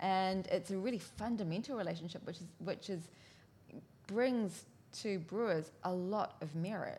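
A woman speaks with a New Zealand accent in a somewhat breathy, dark and mellow tone. Her pitch is medium, with ordinary variation, at a moderate pace. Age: 40s. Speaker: sake specialist. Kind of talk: casual chat. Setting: studio.

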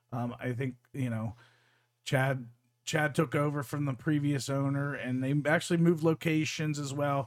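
Here a man talks at a moderate pace in a plain, everyday voice. His pitch is fairly high and his intonation fairly even. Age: 40s. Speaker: fight promotion podcast co-host. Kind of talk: casual chat.

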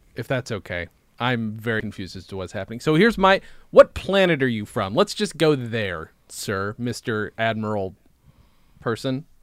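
With an American accent and a plain, everyday voice, a man at a medium pitch speaks at a moderate pace with lively intonation and big swings in loudness, in a very clean recording with a silent background and a dry, close sound with no echo. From central New York. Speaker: comedy podcast co-host. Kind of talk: casual chat.

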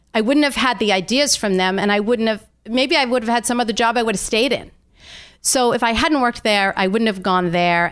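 A woman speaks in an ordinary speaking voice, fairly high in pitch with ordinary pitch variation. The recording is very clean, with a silent background. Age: 60s. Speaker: health coach and entrepreneur. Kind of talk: interview. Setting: makeshift home studio.

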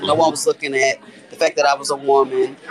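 A man speaks with crowd noise in the background. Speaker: business systems analyst. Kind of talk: casual interview.

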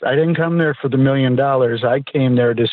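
This is an ordinary speaking voice from a man at medium pitch. His intonation is fairly even. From US East Coast. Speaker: reality TV contestant. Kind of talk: casual interview.

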